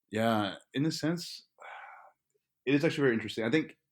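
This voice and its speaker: The man talks fairly quickly, and his pitch varies in an ordinary way. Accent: Spanish. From Texas, inner city Dallas. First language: Spanish. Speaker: graduate student. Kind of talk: interview conversation.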